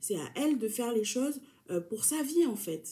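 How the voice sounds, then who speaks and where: A woman's somewhat breathy voice with a dark, mellow tone and very wide pitch swings, at a moderate pace. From New Caledonia (Kanak). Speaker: YouTuber. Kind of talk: casual talk to camera.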